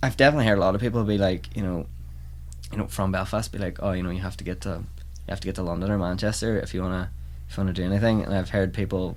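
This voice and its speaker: A man with a very deep, low pitch and a Donegal accent talks at a very fast pace with lively intonation and vocal fry, with audible room echo around him. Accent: Donegal Irish. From Ireland, County Donegal (Convoy, Letterkenny). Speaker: folk musician. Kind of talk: casual chat.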